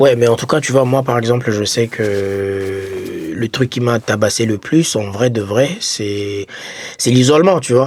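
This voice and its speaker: Speaking at a fairly slow pace, a man has an unremarkable speaking voice with medium pitch and ordinary pitch variation. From Congo. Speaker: podcast co-host, former foreign student. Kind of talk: casual chat.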